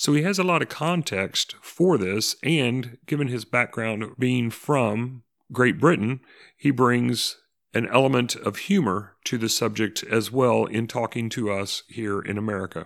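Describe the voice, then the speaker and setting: With lively intonation and medium pitch, a man using a normal speaking voice talks at a fairly slow pace on a very clean recording with a silent background. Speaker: podcast host. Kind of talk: podcast intro and outro.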